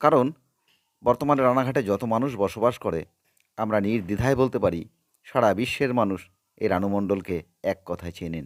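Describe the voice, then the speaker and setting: On a very clean recording with a silent background, a man with a normal speaking voice talks at a medium pitch with ordinary pitch variation. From Ranaghat, West Bengal. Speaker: history channel presenter. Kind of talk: on-location vlog intro and interview.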